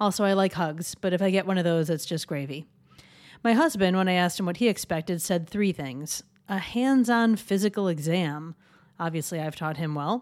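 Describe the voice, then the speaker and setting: At a moderate pace and medium pitch, a woman talks in an ordinary speaking voice with ordinary pitch variation. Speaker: podcast host and physician. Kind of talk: interview and scripted narration.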